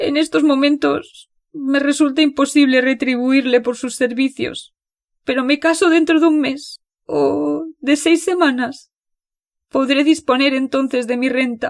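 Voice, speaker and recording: Put-on character voice from a woman, high and shaky, fairly slow, with fairly even intonation. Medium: read story. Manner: soft, shaky.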